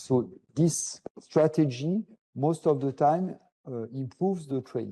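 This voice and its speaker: A man's dark, mellow tone with a French accent. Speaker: professor. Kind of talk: lecture. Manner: halting, many fillers.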